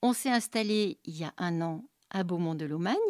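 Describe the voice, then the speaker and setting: This is a normal speaking voice from a woman, medium in pitch with lively intonation. The sound is dry and close with no echo, on a very clean recording with a silent background. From Paris region, France. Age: 60s. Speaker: art therapist. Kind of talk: testimony.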